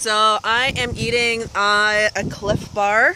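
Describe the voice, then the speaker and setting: A woman speaks with a dry, echo-free sound. Background noise is noticeable. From Canada, northern British Columbia. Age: 20s. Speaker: vlogger. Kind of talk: casual vlog while eating. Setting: outdoors by a lake. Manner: halting, many fillers. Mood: relaxed, cheerful. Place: waterside. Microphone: phone near.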